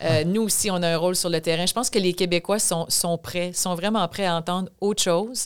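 A woman's plain, everyday voice, fairly low in pitch and fairly even in intonation, at a fairly quick pace with hardly any pauses. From Quebec, Chaudière-Appalaches (Thetford Mines). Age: 50s. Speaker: provincial politician. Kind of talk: interview.

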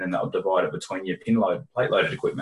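A man speaks with an Australian accent. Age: 40s. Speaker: personal trainer and fitness business consultant. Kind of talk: casual interview.

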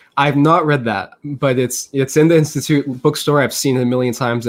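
A man talks at a very fast pace. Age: 20s. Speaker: economics graduate. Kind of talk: casual interview.

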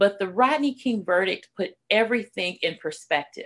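A woman with a Californian accent speaks at medium pitch with lively intonation. The background is quiet. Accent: Californian American English. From Los Angeles, California. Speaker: military spouse and community speaker. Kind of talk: radio interview. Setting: remote call.

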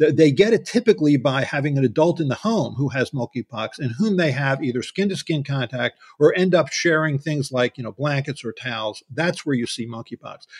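A man talks with lively intonation and hardly any pauses, his pitch fairly high and his voice somewhat breathy. The sound is dry and close, with no echo. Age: 70s. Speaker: pediatrician and vaccine researcher. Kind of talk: interview. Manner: halting.

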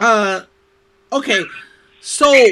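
This man's voice is raised and projected. It carries a bright, sharp tone. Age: 50s. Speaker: podcast host. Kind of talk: casual interview. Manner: animated.

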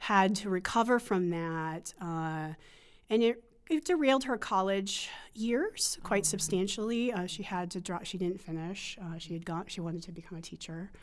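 In an American accent, a woman speaks at medium pitch with ordinary pitch variation and big swings in loudness. The recording is very clean, with a silent background. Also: moderate pace. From US Northeast, rural western Pennsylvania. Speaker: psychology professor and researcher. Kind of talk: interview. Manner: halting, many fillers.

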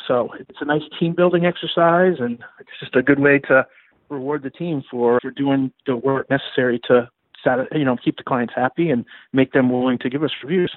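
Speaking at a fairly high pitch and a moderate pace, a man uses an ordinary speaking voice. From Maine, US (Augusta). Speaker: bankruptcy attorney. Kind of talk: interview.

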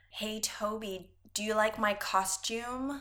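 In a put-on character voice, a female-sounding speaker talks at a fairly slow pace with a fairly high pitch for a woman. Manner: flirtatious, teasing.

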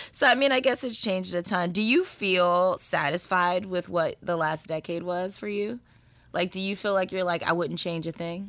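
This woman has a plain, everyday voice, medium in pitch with ordinary variation, at a moderate pace. The recording is very clean, with a silent background. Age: 30s. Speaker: podcast host. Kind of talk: casual chat.

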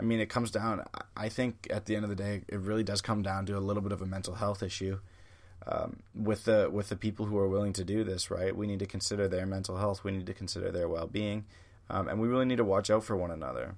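A man with a Canadian accent, very fast in pace, fairly low in pitch, with fairly even intonation. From Canada. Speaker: podcast host. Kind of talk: opinion monologue. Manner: casual with frequent fillers.

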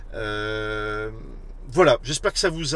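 A man's voice over noticeable background noise. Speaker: podcast host. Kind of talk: casual interview. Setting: in a car, live on social media.

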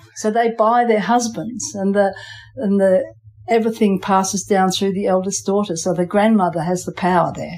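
A woman with an Australian accent, moderate pace and fairly even intonation. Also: medium pitch for a woman. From England, moved to Western Australia at five. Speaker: island fisher and pearl farmer, artist. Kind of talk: casual interview. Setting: on location on an island. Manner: halting, with repeated words.

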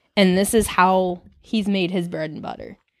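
A woman with a Michigan accent at a medium pitch and moderate pace, on a very clean recording with a silent background. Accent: Michigan American. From Michigan, Detroit suburbs (Farmington). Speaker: artist and photographer. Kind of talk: casual chat.

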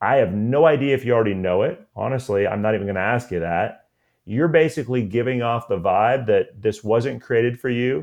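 This is a man with a normal speaking voice, medium in pitch and with ordinary pitch variation. He talks at a fairly quick pace. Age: 40s. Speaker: college admissions consultant. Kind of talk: interview. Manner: casual.

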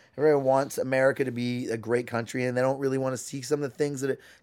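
In a very clean recording with a silent background, a man talks at a very fast pace with fairly even intonation. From Canada. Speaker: comedian. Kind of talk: casual chat.

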